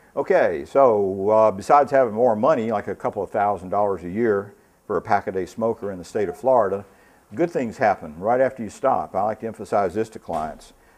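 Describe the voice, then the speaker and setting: A man with an unremarkable speaking voice and a fairly low pitch talks at a fairly quick pace with ordinary pitch variation. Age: 60s. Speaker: addiction treatment trainer. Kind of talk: lecture. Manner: casual.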